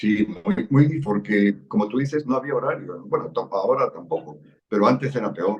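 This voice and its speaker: Vocal fry and very wide pitch swings in a man's medium-pitched voice, at a moderate pace. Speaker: parliamentary civil servant. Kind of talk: interview. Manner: calm.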